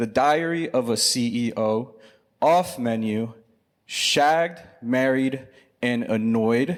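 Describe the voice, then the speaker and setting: A man with an American accent, an ordinary speaking voice, medium pitch and ordinary pitch variation, in a very clean recording with a silent background. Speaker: research company director. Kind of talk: live panel chat. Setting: stage with audience.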